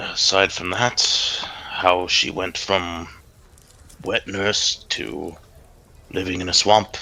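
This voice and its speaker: A raspy, put-on character voice. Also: man. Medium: actual play. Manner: friendly, conversational.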